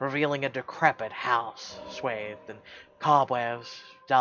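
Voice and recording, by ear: Ordinary pitch variation marks this reading aloud in a natural voice.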